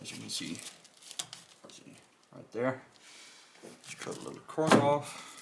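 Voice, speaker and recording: A man's medium-pitched voice with a Danish accent and fairly even intonation, against noticeable background noise. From Denmark. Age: 20s. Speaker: car hobbyist YouTuber. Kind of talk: tutorial. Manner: halting.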